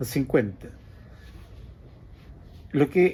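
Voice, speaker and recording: A man's medium-pitched, dark and mellow voice, with lively intonation at a fairly slow pace. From Chile. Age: 70s. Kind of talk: casual reminiscing interview.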